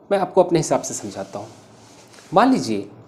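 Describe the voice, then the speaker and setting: The speaker is a man whose voice sits at a high pitch. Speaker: English teacher. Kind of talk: tutorial. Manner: slow.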